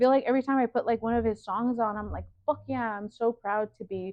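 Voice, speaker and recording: The words come at a fairly quick pace. The speaker is a woman with a Spanish accent. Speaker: fashion designer. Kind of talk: casual interview. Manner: casual, filler-heavy (like, you know).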